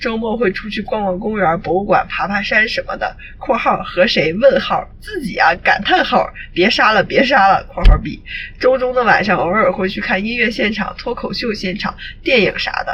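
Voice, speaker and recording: Noticeable background noise sits behind a woman with a fairly high pitch. She uses lively intonation at a moderate pace. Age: 20s. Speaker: podcast co-host. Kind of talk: reading aloud; casual chat.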